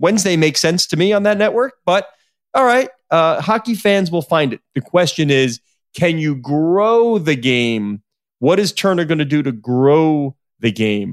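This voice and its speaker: This man's voice sits fairly high and moves through very wide pitch swings. The sound is dry and close, with no echo. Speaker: sports business journalist and podcast host. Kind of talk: casual chat.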